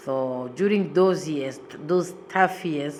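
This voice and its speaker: Fairly slow speech from a woman with a non-native accent, amid noticeable background noise and audible room echo. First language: not English. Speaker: asylum seeker interviewee. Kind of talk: interview testimony.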